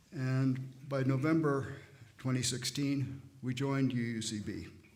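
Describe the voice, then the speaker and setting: There is audible room echo around this man's fairly high-pitched voice. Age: 80s+. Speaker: church member speaking at service. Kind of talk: testimony. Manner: halting.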